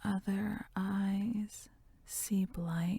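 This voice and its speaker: Whispering comes at a very slow pace. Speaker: ASMR poetry reader. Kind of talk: poetry reading. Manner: whispered.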